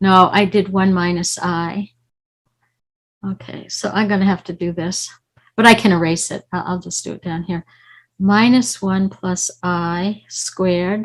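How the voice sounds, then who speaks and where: A woman at medium pitch speaks at a fairly slow pace in a somewhat breathy voice, with fairly even intonation and big swings in loudness, on a very clean recording with a silent background. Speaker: mathematics professor. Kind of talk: lecture.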